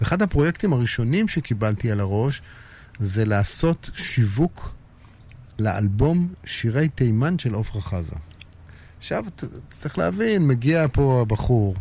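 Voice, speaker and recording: With a dark, mellow, somewhat breathy tone, a man at medium pitch speaks fairly slowly, his pitch swinging very widely between long, frequent pauses. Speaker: music industry figure and musician. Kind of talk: casual interview. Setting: radio studio.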